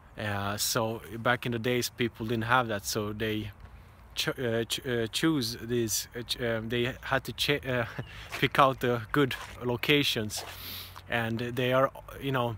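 A man speaks at a very slow pace with fairly even intonation. The sound is dry, with no echo. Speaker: travel vlogger. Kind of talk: casual vlog chat. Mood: calm, reflective. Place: open country. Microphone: phone near.

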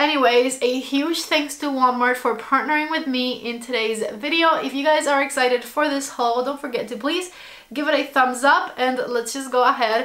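At a moderate pace, a woman talks in a high pitch with fairly even intonation. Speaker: lifestyle vlogger. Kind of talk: casual vlog chat. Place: home room.

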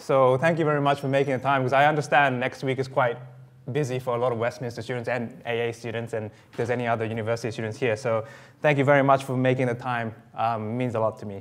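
The man's intonation stays fairly even while he talks at a very fast pace. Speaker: guest lecturer. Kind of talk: lecture. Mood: friendly, smiling opening. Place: hall.

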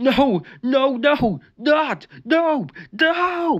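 Someone shouts in a put-on character voice with a high pitch. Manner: panicked, yelling, struggling.

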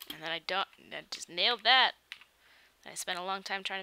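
A woman talks at a very fast pace in a Michigan accent, her tone bright and sharp. Her pitch variation is ordinary, and the sound is dry with no echo. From Michigan, US Midwest. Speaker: YouTuber editing a video on a livestream. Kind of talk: casual livestream chat. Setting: livestream. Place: home room.

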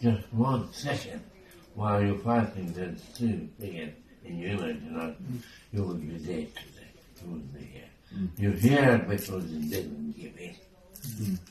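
With audible room echo, a man talks at a fairly slow pace in a fairly low pitch, his intonation lively and his loudness swinging widely. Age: 80s+. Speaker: storyteller. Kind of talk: casual storytelling in conversation. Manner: rambling, halting. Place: home room. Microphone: phone near.

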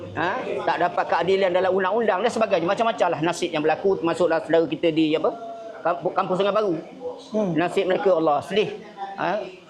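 A man's high-pitched, very fast voice with fairly even intonation over noticeable background noise. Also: very even loudness. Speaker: NGO coalition organiser. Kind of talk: speech to press and guests. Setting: gathering at a camp.

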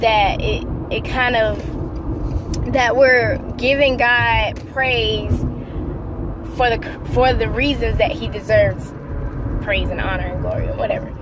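A woman with a fairly high voice talks slowly, her intonation fairly even. Long pauses come often, over clear background noise.

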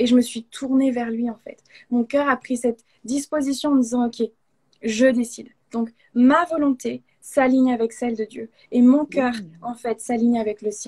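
A woman's high-pitched voice with a dark, mellow tone, fairly even intonation, a fairly slow pace and big swings in loudness, over a quiet background. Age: 20s. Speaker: guest. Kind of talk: testimony. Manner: halting. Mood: warm, earnest. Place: home room. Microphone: video call.

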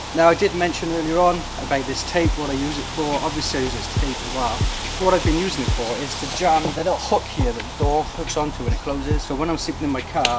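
Loud background noise surrounds a man talking at a very fast pace. His pitch varies in an ordinary way. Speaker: travel vlogger. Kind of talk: casual vlog chat. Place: forest. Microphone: camera far.

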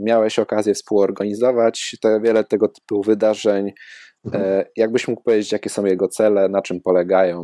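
A man with a Polish accent speaks at a moderate pace and fairly low pitch in a dark, mellow tone. His intonation is monotone and flat, and the sound is dry and close with no echo. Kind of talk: casual interview.

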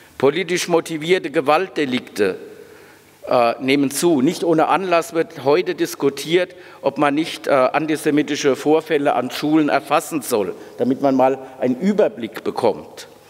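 This man speaks at a moderate pace with a fairly high pitch and ordinary pitch variation. His loudness stays very even throughout. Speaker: university president. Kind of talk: welcome speech. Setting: stage with audience. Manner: formal. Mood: serious, earnest. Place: hall. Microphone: podium.

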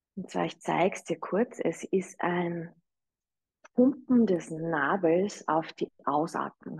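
A soft-spoken woman with a fairly low pitch, vocal fry, a calm, soothing tone and ordinary pitch variation, speaking very slowly against a quiet background. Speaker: yoga teacher. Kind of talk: guided meditation and breathing instruction. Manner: slow, calm, soothing, gentle; inviting, soft-spoken. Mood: calm, soothing guidance. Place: home room.

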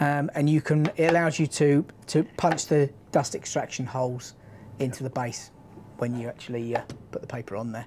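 A woman with a British accent speaks at a moderate pace in a very deep, low voice with a dark, mellow tone, ordinary pitch variation, and long, frequent pauses over light background noise. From UK. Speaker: power tool product trainer. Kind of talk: live stream product demo. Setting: studio live stream. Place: studio. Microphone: lapel.

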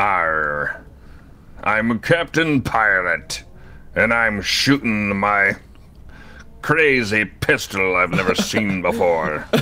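A man in a put-on character voice speaks at a fairly low pitch and a very slow pace, with long, frequent pauses. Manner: playful, gruff.

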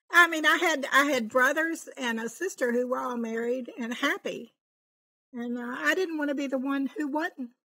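A woman speaks at a moderate pace in a high, bright, sharp voice. Her pitch moves up and down in an ordinary way. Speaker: podcast guest telling her story. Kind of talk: interview answer, personal story. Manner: quiet, calm. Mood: reflective, recounting painful past. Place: home room. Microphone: studio mic.

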